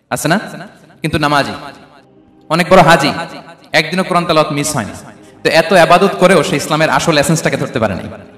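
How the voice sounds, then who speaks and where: Over noticeable background noise, a man speaks in a fairly high pitch with an energetic tone and ordinary pitch variation. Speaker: Islamic preacher giving a sermon. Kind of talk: Islamic sermon (waz) to a live audience. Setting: live gathering. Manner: energetic, rhetorical, audience-engaging.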